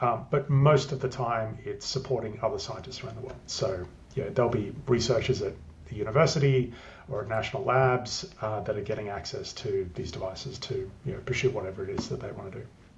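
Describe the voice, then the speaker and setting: Spoken very fast in an Australian accent, the voice swings widely in loudness, with audible room echo and noticeable background noise. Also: man, medium pitch for a man, ordinary pitch variation. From Australia, country Queensland. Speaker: tech business development lead. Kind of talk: interview. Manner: hesitant, many fillers.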